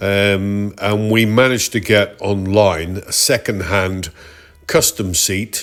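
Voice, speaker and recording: A man's fairly low voice with a British accent and ordinary pitch variation. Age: 60s. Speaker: retired motorcyclist, vlogger. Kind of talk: ride review narration. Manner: relaxed, conversational.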